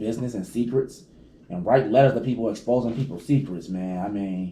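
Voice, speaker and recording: A man talks at a fairly quick pace in a dark, mellow tone with ordinary pitch variation. Room echo is audible. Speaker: video blogger. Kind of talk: casual chat. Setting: at home. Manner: loud.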